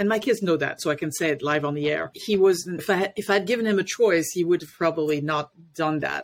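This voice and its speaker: With a French accent, a woman talks at a very fast pace with hardly any pauses in a fairly low pitch, captured in a very clean recording with a silent background. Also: ordinary pitch variation. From France, Paris. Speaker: life coach and parenting educator. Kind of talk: interview.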